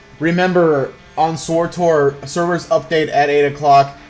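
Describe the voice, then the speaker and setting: Against noticeable background noise, a man talks fairly slowly with monotone, flat intonation. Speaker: gaming livestreamer. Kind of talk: live gameplay stream commentary. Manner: loud; casual, filler-heavy.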